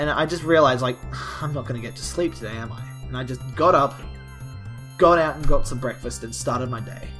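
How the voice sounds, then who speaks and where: Clear music plays in the background. The speaking pace is moderate. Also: man. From Australia. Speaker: vlogger. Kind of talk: casual talk to camera. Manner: joking. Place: home room. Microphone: webcam.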